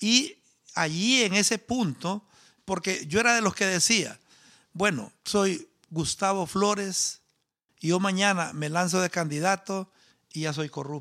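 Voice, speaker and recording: A man's raised, projected voice, high in pitch with ordinary pitch variation and a bright, sharp tone, full of long, frequent pauses, in a very clean recording with a silent background. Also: fairly slow pace. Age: 50s. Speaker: agronomist and party founder. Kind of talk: interview.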